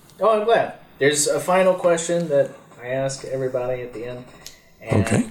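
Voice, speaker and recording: Amid noticeable background noise, a man with a fairly high pitch for a man talks at a fairly quick pace, using lively intonation, big swings in loudness, and long, frequent pauses. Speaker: podcast host. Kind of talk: casual interview. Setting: guest's home. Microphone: problematic microphone.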